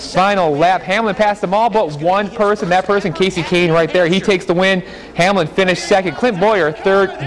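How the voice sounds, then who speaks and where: A man with a high-pitched voice talks at a fairly quick pace and with fairly even intonation, with noticeable background noise behind him. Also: very even loudness. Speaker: sports reporter. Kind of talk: auto racing recap voiceover.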